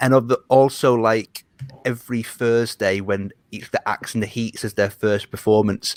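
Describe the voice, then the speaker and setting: A man with a British accent talks in a monotone at a medium pitch. The sound is dry and close with no echo, and the loudness swings widely. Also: moderate pace. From Britain. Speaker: Eurovision journalist and betting analyst. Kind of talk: casual chat.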